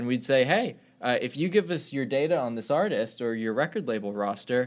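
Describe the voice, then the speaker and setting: This man has a normal speaking voice at a medium pitch. He moves at a fairly quick pace with lively intonation. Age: 20s. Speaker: startup founder and CEO. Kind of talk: interview.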